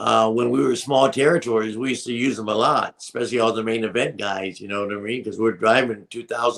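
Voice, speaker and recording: A man with a plain, everyday voice at medium pitch talks at a fairly quick pace with hardly any pauses, fairly even intonation and big swings in loudness. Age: 60s. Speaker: wrestling manager. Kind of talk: casual interview.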